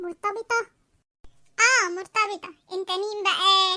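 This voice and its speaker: A woman's squeaky, cartoonish character voice, pitched extremely high and delivered very slowly in a flat monotone, with a dry, close sound and no echo. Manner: flustered, jumpy.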